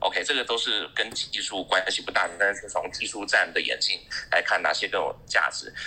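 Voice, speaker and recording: A man's voice over noticeable background noise. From Taiwan, Taipei. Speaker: tech industry professional. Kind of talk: casual panel chat.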